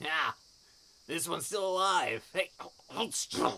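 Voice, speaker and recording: A man does a put-on character voice with a high pitch. He talks at a fairly slow pace. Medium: read story. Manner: mocking, crude.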